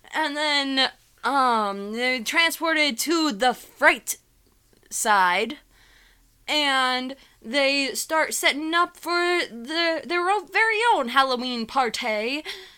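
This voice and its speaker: Speaking very slowly, a woman uses a raised, projected voice with lively intonation. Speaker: podcast host. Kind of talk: casual chat. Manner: halting.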